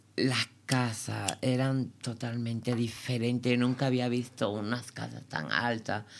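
Speaking at a very slow pace, a woman barely pauses. Her very deep, low pitch carries fairly even intonation. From Cuba. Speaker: dancer. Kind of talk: interview.

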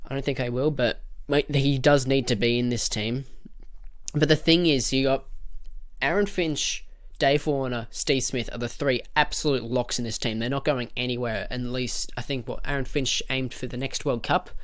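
With an Australian accent, a man speaks in a fairly high pitch. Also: fairly even intonation, moderate pace. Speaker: podcast host. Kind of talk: unscripted solo rant about cricket. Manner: rambling, passionate.

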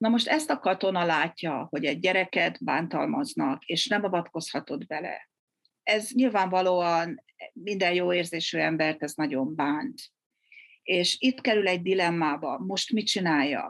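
In a quiet background, a woman speaks fairly slowly, her fairly low pitch carried by lively intonation. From Hungary. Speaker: military psychiatrist. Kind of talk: interview. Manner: halting, many repetitions.

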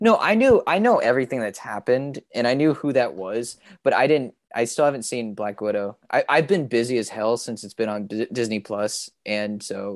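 Against a quiet background, a man speaks in an ordinary speaking voice at medium pitch and a moderate pace, with ordinary pitch variation, hardly any pauses, and a dry, close sound with no echo. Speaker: comic book podcast co-host, guest. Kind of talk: casual chat. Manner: upbeat, cheerful.

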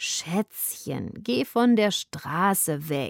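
A female-sounding put-on character voice drawls very slowly at a medium pitch. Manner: drawling, languid.

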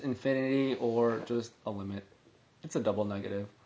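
A man talks with fairly even intonation and keeps a moderate pace. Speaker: podcast co-host. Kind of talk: casual chat.

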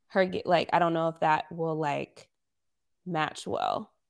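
Speaking at a very slow pace, a woman has fairly low pitch, a bright, sharp tone and vocal fry. The recording is very clean, with a silent background. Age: 20s. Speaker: podcast co-host. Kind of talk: casual chat.

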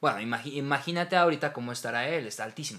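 Speaking with a Mexican accent, a man has a fairly high voice with a bright, sharp tone. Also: very clean recording, silent background. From Mexico. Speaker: voice actor. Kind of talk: casual chat.

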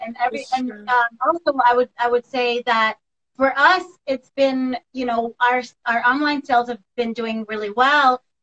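A woman's high voice with an American accent, fairly even intonation, and a moderate pace. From Jamaica, later Florida. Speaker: esthetician and business co-founder. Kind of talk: casual interview. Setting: live video call.

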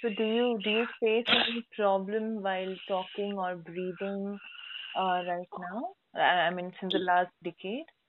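At a fairly slow pace, a woman with an Indian accent speaks at a medium pitch with fairly even intonation. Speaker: podcast host. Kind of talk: interview.

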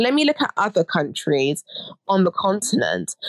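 The woman has a medium pitch and speaks with a British accent. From Britain, Ghanaian heritage. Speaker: academic and fashion education nonprofit director. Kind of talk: interview.

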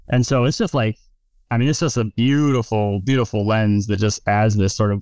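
A man with an American accent has a plain, everyday voice and a fairly low pitch, speaking at a fairly quick pace. The sound is dry and close with no echo, on a very clean recording with a silent background. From West Virginia, Appalachia. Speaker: cinematographer. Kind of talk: casual interview chat.

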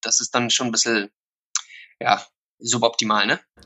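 A man at medium pitch. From South Africa, Somerset West (German-speaking family). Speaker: youth football academy founder. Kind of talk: interview.

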